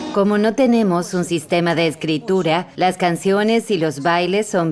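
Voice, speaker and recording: A woman with a Taiwanese accent speaks at a fairly slow pace, her pitch fairly low with ordinary variation. Music plays in the background. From Taiwan, Hualien county. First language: Amis (speaking Spanish). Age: 30s. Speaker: politician. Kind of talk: interview; public address.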